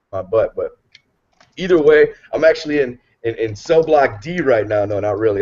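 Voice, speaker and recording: The voice climbs and drops through very wide pitch swings. It sounds somewhat breathy. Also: man. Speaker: military service member and online marketing panelist. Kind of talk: motivational talk on live video hangout. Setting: live video hangout from barracks room. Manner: animated.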